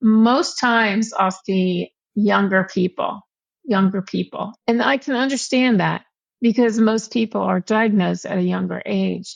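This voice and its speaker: A woman with an American accent in an unremarkable speaking voice, medium in pitch and moderate in pace, with fairly even intonation, a dry, close sound with no echo, and a quiet background. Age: 60s. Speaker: patient advocate and blogger. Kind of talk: interview.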